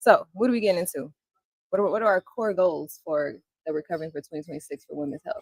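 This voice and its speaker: A soft-spoken woman talks at a very fast pace, her fairly low pitch carrying lively intonation. The sound is dry and close, with no echo. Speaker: podcast co-host, nursing student. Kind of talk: casual chat. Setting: livestream on Facebook.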